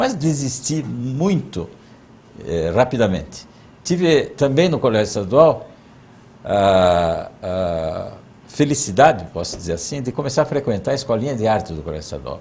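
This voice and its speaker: Vocal fry runs through a man's moderately paced speech. His pitch rises and falls very widely. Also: medium pitch for a man. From southern Brazil, Mafra, Santa Catarina. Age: 60s. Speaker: interviewee recounting his life. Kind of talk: oral history interview.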